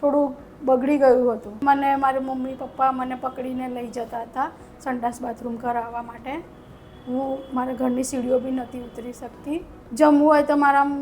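Over noticeable background noise, a woman speaks in a high, monotone, flat voice. Her loudness swings widely. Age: 40s. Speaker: patient. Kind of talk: testimony.

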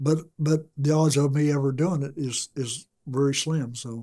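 A somewhat breathy voice with a dark, mellow tone and an American accent. The intonation stays fairly even over a quiet background. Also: man. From US Midwest (Ottumwa, Iowa); Iowa. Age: 70s. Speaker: retiree interviewed for life story; interviewee. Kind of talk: interview; interview answer. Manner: halting, with many repetitions. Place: studio.

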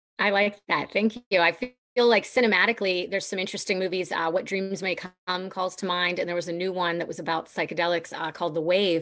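Talking very fast and hardly pausing at all, a woman sounds enthusiastic in a Pittsburgh accent. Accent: American (Pittsburgh area). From US Northeast (Pennsylvania). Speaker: podcast host and professional cuddler; podcast host. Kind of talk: casual panel discussion. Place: home room. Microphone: video call.

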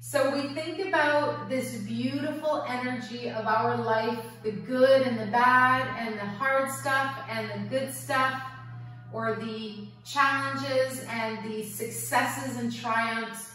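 Against strong room echo and light background noise, a woman speaks at a very slow pace. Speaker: yoga teacher. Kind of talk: guided yoga and meditation class. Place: home room. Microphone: camera far.

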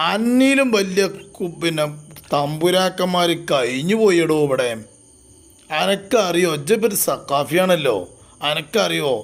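Speaking with a Malabar accent, a man uses a high pitch and lively intonation while his loudness stays very even. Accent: Malabar Malayalam. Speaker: religious YouTuber. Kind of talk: polemical commentary. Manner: animated.

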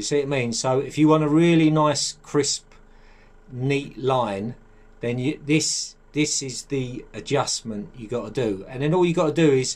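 A man speaks at a fairly slow pace with a medium pitch, ordinary pitch variation and a slightly mellow tone.

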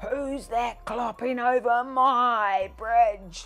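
Bellowing in a put-on character voice that sounds female, the speaker goes at a very slow pace and a high pitch for a woman, on a very clean recording with a silent background. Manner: roaring.

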